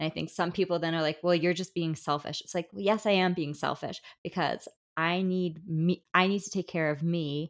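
A woman with an American accent and a plain, everyday voice speaks at a moderate pace in a fairly low pitch with fairly even intonation. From New Jersey, Bergen County. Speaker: podcast host. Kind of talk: casual interview chat. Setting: remote recording.

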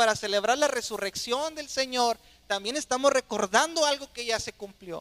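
Extremely high in pitch, a man's voice sounds bright and sharp, dry and close with no echo. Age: 30s. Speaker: pastor. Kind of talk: sermon.

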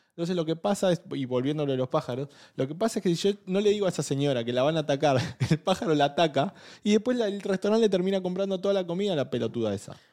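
In a very clean recording with a silent background, a man with a high pitch and a dark, mellow tone speaks very fast with lively intonation. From Argentina. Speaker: podcast co-host. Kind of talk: casual chat. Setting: studio.

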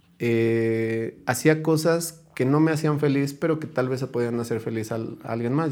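With an ordinary speaking voice and ordinary pitch variation, a man talks at a fairly slow pace. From Hidalgo, Mexico. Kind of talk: casual chat.

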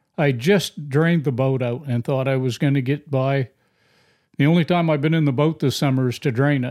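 Speaking fairly quickly with a Maine accent, a man with a fairly high pitch keeps his intonation fairly even in a very clean recording with a silent background. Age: 60s. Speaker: podcast host, hunter. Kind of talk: casual conversation.

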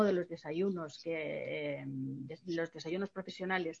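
A woman talks with ordinary pitch variation. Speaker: association president. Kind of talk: welcome speech. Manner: halting.

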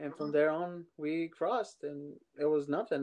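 A man with a Spanish accent speaks in a fairly high pitch with a dark, mellow tone and fairly even intonation. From Mexico. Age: 30s. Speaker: immigrant sharing his story. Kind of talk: casual interview.

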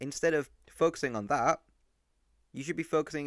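In an English accent, a man with a fairly high pitch speaks at a very fast pace with ordinary pitch variation, and the sound is dry and close with no echo. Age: young. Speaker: podcast host. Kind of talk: solo monologue. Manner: animated.

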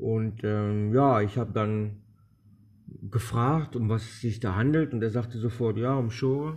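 A man speaks very slowly in a somewhat breathy, medium-pitched voice with ordinary pitch variation against a quiet background. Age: 40s. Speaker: podcaster, former addict. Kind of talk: testimony. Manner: hesitant, with fillers.

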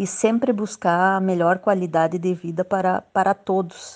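Against a quiet background, a woman at medium pitch speaks with fairly even intonation. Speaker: local politician. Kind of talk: radio interview.

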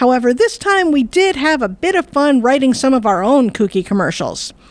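A woman speaks in a high pitch at a moderate pace. Her pitch swings very widely. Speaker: podcast host. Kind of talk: casual chat, scripted intro.

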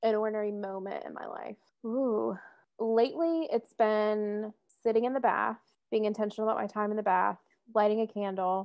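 The speaker has an American accent and a moderate pace with fairly even intonation. Loudness swings widely throughout. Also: woman. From US South, Metro Atlanta. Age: 20s. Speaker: podcast co-host, social work student. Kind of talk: casual chat.

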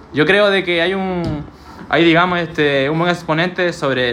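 A moderate tempo and ordinary pitch variation, set against background music. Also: man. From Peru. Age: 20s. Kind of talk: casual podcast talk.

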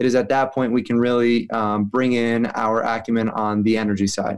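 A plain, everyday voice with an American accent. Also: man. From New York City. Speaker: renewable energy company president, former lawyer. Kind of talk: interview.

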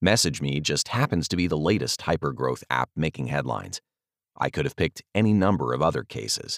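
With a very deep, low pitch and vocal fry, a man talks at a fairly quick pace using lively intonation. The sound is dry and close, without echo. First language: not English. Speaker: podcast host and author reading his own article. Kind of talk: reading aloud.

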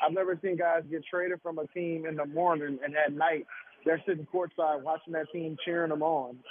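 A man talks at a fairly quick pace in a monotone, flat intonation. Noticeable background noise runs behind him. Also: fairly high pitch for a man. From New Orleans. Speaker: sports journalist. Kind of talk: radio interview.

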